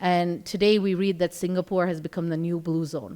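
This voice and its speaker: Medium-pitched woman's voice with a slight American accent in a very clean recording, silent background. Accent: American to some degree. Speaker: healthcare executive and conference speaker. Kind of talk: conference talk.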